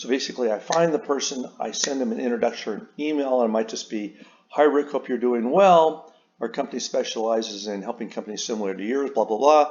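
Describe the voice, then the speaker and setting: With ordinary pitch variation, a medium-pitched man rattles along at a very fast pace. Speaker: author and sales trainer. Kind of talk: tutorial.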